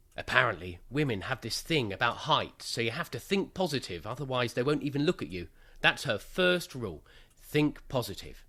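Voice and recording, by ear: A man in a put-on character voice at medium pitch, bright and sharp in tone, with big pitch swings and a moderate pace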